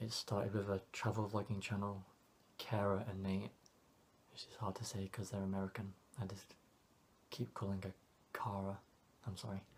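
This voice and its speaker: A man speaks at a moderate pace with long, frequent pauses. His voice is fairly low, somewhat breathy, and monotone in its flat intonation. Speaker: vlogger. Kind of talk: personal vlog monologue. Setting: home alone. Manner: quiet, not projecting.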